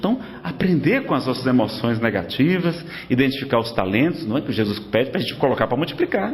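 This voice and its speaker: Audible room echo and noticeable background noise surround a man's voice. He talks at a fairly quick pace with very wide pitch swings. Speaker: spiritist lecturer. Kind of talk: lecture. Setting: spiritist centre with audience.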